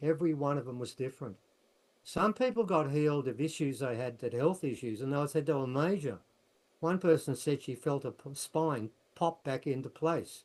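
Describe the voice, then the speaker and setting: Using ordinary pitch variation, a man talks at a moderate pace in a fairly high pitch. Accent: Australian. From Australia. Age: 70s. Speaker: researcher and author. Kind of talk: casual chat. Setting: video call.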